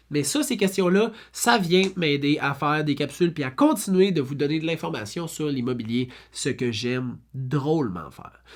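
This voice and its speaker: The tone is animated, in a Quebec accent. The pace is moderate. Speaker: real estate broker. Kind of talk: FAQ video monologue. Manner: animated, casual.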